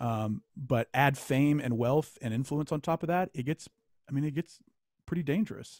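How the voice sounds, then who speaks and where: Here is a man with a plain, everyday voice and an American accent, his pitch medium with ordinary variation. He talks at a moderate pace, and the sound is dry and close with no echo. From Louisiana, US South. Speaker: author. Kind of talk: casual chat. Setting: video call.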